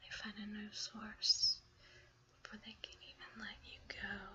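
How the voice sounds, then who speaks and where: A woman whispers at a fairly slow pace with big swings in loudness over noticeable background noise. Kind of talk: ASMR blog reading. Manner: soft-spoken, whispered.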